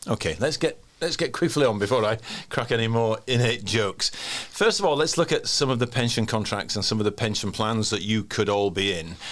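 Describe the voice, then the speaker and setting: With a Yorkshire accent, a man speaks at a fairly quick pace, his medium pitch showing ordinary variation. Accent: broad Yorkshire. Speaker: podcast host. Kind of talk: casual podcast chat.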